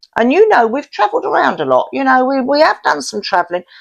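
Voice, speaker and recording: On a very clean recording with a silent background, a woman's animated voice swings very widely in pitch and shows vocal fry. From London, Paddington. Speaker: interviewee, host's mother. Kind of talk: casual interview.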